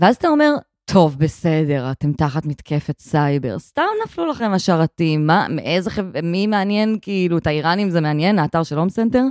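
A woman with a fairly low pitch uses a plain, everyday voice and lively intonation, in a very clean recording with a silent background and a dry, close sound with no echo. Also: moderate pace. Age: 30s. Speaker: podcast co-host, social benefits expert. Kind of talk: casual chat. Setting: living room.

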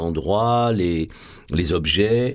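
With lively intonation, a man talks. The background is silent and the recording very clean. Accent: Marseille. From Marseille, France. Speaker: actor and stage director. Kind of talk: radio interview. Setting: studio.

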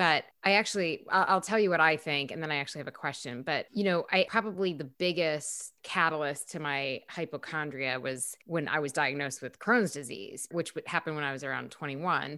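Speaking in an American accent at a fairly quick pace with hardly any pauses, a woman uses a very deep, low pitch, ordinary pitch variation and a bright, sharp tone on a very clean recording with a silent background. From upstate New York. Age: 40s. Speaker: co-host and TV journalist. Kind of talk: casual conversation. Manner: humorous, witty.

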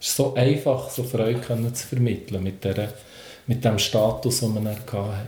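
A man's medium-pitched, somewhat breathy voice with a dark, mellow tone, fairly even intonation, moderate pace and audible room echo. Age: 40s. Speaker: comedian and children's entertainer. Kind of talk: casual interview.

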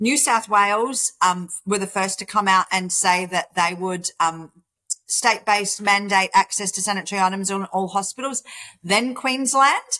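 A woman speaks with an Australian accent and a bright, sharp tone at a moderate pace. The sound is dry and close, with no echo. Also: medium pitch for a woman, ordinary pitch variation. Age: 50s. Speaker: charity founder. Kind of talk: interview.

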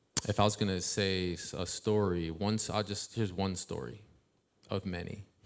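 A man with an American accent uses a normal speaking voice at a fairly low pitch and moderate pace, in a very clean recording with a silent background. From Ohio. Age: 40s. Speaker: hip-hop artist and youth mentor. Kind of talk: casual interview on stage. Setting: stage with live audience.

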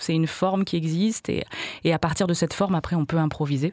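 A plain, everyday voice at a fairly quick pace with ordinary pitch variation, in a dry, close sound with no echo on a very clean recording with a silent background. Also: woman. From France, Hautes-Alpes. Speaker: singer and musician. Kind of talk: radio interview. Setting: studio.

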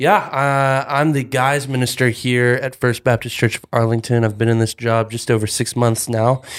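A man's normal speaking voice, medium in pitch, with an American accent, a moderate pace and fairly even intonation. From North Texas, Denton. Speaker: youth minister. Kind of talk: casual chat.

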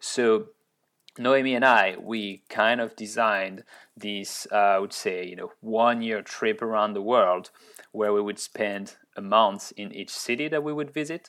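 A man with a French accent talks at a fairly slow pace in a fairly low pitch, with ordinary pitch variation and big swings in loudness. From France, Orleans. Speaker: tech startup founder and CEO. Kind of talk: interview. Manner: hesitant, many repeated words and fillers.

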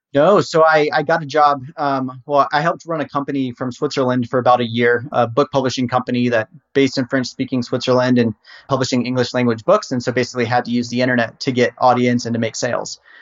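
With an American accent, a man talks at a very fast pace and fairly even intonation. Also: medium pitch for a man. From US South, Virginia. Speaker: SEO marketplace founder. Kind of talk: casual interview.

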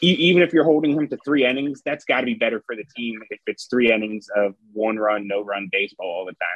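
A plain, everyday voice. It moves at a fairly quick pace with lively intonation. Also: man, medium pitch for a man. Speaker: baseball writer and podcast co-host. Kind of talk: casual chat. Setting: video call.

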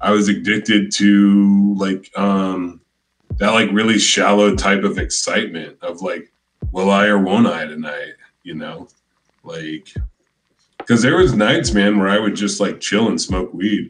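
Delivered at a fairly slow pace, an ordinary speaking voice carries ordinary pitch variation. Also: man, fairly low pitch for a man. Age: 40s. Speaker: comedian. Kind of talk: casual chat.

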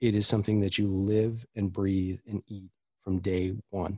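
A man with an American accent speaks at a fairly low pitch in a flat monotone. The recording is very clean and dry, with a silent background and no echo, and it sounds close. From US East Coast, Washington DC. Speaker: chief experience officer, product designer. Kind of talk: interview.

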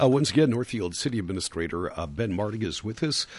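A man is speaking. His pitch swings very widely. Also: quiet background. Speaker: radio host. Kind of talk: radio interview. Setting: studio.

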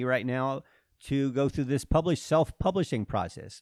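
In a very clean recording with a silent background, a man talks at a fairly quick pace, with a medium pitch and ordinary pitch variation. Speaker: trail running coach. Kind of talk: casual interview. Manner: understated.

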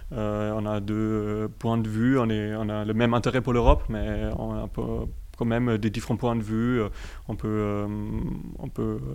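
Room echo is audible as the speaker talks at a fairly slow pace with a German accent. The intonation stays fairly even. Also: man. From Germany. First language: German (speaking French). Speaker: student association co-president. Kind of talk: radio interview. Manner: halting.

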